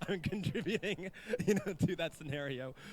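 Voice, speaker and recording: Lively intonation from a man over noticeable background noise. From Canada. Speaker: esports event host, Smash player. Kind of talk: live event hosting.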